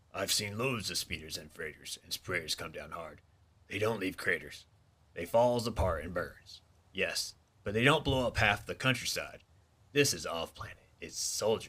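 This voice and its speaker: A man puts on a raspy character voice at a medium pitch. His pace is moderate. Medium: read story. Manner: sour, complaining.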